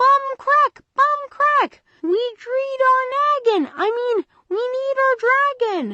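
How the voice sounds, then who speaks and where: Woman shouting in a squeaky, put-on character voice at an extremely high pitch, very slow pace with hardly any pauses. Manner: excited, screaming.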